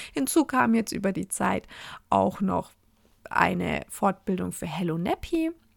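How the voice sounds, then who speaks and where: A woman speaks in an animated tone at a fairly slow pace. The recording is very clean, with a silent background. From Franconia, Germany (Fürth/Nuremberg area). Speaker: podcast host, cloth diaper consultant. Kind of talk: solo podcast monologue.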